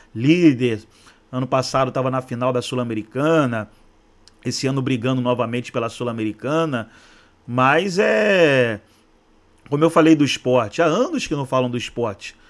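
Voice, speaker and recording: At a moderate pace, a man talks in a medium pitch. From Rio de Janeiro, Brazil. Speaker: football YouTuber. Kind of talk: casual vlog commentary. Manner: repeats words, hesitant.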